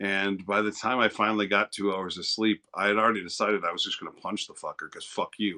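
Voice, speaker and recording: With an American accent, a man with a fairly low, bright, sharp voice speaks very fast with hardly any pauses and big swings in loudness, recorded dry and close with no echo against a quiet background. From East St. Louis, Illinois. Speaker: livestreamer. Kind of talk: casual chat. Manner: animated.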